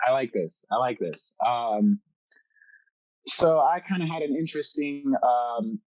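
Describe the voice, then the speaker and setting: Long, frequent pauses break up a man's fairly slow speech. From Miami, Florida (Key Biscayne), French household. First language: French. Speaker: wildlife photographer. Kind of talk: casual chat. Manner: hesitant, many fillers.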